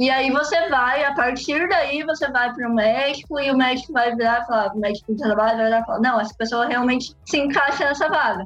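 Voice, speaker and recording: A woman's high-pitched voice at a fairly quick pace, with ordinary pitch variation, very even loudness and music in the background. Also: hardly any pauses. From Brazil, Londrina, Paraná. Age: 20s. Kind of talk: casual interview.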